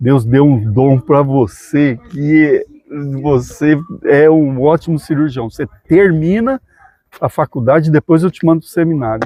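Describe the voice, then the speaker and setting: This is an ordinary speaking voice, moving at a fairly slow pace with big swings in loudness and ordinary pitch variation. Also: man, fairly high pitch for a man. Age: 60s. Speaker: dentist and missionary. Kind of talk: casual interview chat.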